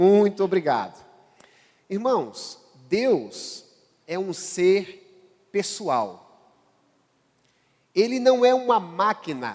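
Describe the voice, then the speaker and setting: Speaking at a very slow pace with a northeastern Brazilian accent, a man uses a high pitch and lively intonation. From Brazilian Northeast. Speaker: pastor. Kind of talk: sermon. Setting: church.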